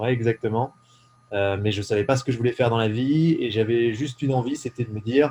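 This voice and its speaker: Talking at a very fast pace, a man keeps a medium pitch and fairly even intonation. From eastern France (Ain, Jura mountains). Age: 20s. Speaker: entrepreneur. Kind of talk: casual interview. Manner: hesitant, many fillers.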